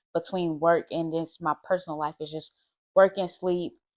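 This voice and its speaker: The fairly low voice of a woman comes across dry and close, with no echo. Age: 20s. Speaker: lifestyle vlogger. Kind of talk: casual monologue to camera. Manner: fast.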